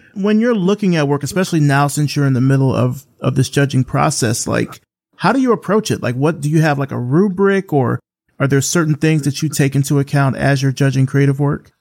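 A man with an ordinary speaking voice, fairly high in pitch, talks at a fairly quick pace with ordinary pitch variation and very even loudness. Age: 40s. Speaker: podcast host. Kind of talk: interview.

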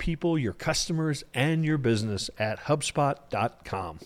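A man's voice with lively intonation. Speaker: podcast host. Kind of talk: interview.

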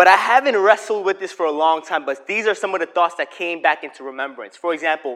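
The man's voice sits at a high pitch with ordinary pitch variation. He talks at a fairly quick pace. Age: 20s. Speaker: preacher. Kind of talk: sermon. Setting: stage with audience.

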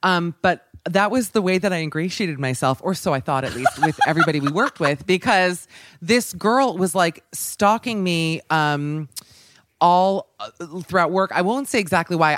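The intonation is lively and the pace is moderate. It is a plain, everyday voice. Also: woman. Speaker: radio host. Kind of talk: casual chat.

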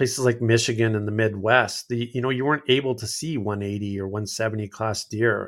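At a moderate pace, a man with a fairly low pitch talks in an ordinary speaking voice with fairly even intonation. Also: very clean recording, silent background. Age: 50s. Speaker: outdoorsman and content creator. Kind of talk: casual interview chat.

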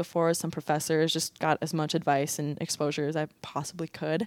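A woman with an American accent and a very deep, low pitch speaks at a fairly quick pace with fairly even intonation, recorded very cleanly against a silent background in a dry, close sound with no echo. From Minnesota. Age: 20s. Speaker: college athlete and pre-med student. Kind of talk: interview.

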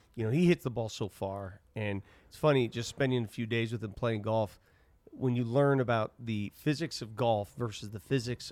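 A man with an American accent speaks in a normal speaking voice at medium pitch and a moderate pace, with ordinary pitch variation and big swings in loudness, in a dry, close sound with no echo over a very clean, silent background. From Denver, Colorado. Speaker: sports broadcaster. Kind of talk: casual chat. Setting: studio.

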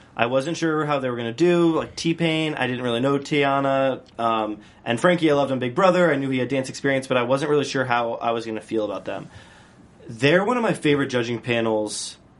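At a fairly quick pace, a man with a medium pitch speaks with ordinary pitch variation. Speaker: after-show host. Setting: studio. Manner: animated.

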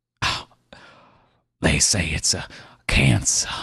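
This is a put-on character voice. It sounds raspy. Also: man, very deep, low pitch for a man. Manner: bitter, weak.

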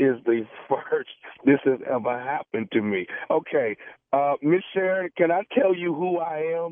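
With an unremarkable speaking voice, a man talks at a moderate pace, fairly high in pitch with lively intonation. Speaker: radio prank caller. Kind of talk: prank phone call. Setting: phone call.

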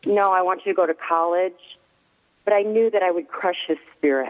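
A woman speaks in a normal speaking voice at medium pitch. Her pitch varies in an ordinary way. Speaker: mother of an actor, prayer advocate. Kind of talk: casual chat.

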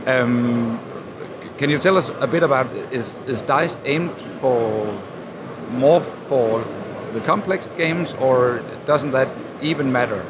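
A man with a Danish accent at medium pitch, at a very slow pace with long, frequent pauses and ordinary pitch variation, with noticeable background noise and audible room echo. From Denmark. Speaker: podcast producer and interviewer. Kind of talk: trade fair interview. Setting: busy convention hall.

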